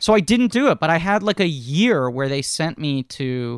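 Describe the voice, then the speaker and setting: In a dry, close sound with no echo and a very clean, silent background, a man with an American accent and fairly high pitch speaks with very wide pitch swings. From New York City. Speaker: podcast host and actor. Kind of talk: casual chat.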